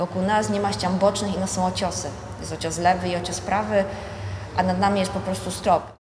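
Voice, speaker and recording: Noticeable background noise runs under this clip. A woman speaks at a fairly quick pace. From Silesia, Poland. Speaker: mine tour guide. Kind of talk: interview answer.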